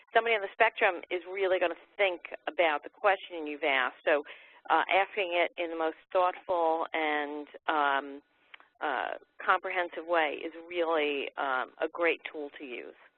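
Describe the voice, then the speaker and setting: Talking at a moderate pace, this unremarkable speaking voice shows ordinary pitch variation. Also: woman, fairly low pitch for a woman, big swings in loudness. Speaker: webinar panelist. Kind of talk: webinar presentation.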